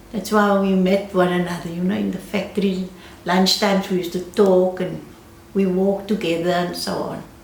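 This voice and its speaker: There is audible room echo as a woman talks at a medium pitch. Her pace is moderate and her intonation monotone and flat. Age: 80s+. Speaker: retired dressmaker. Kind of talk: interview. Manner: halting.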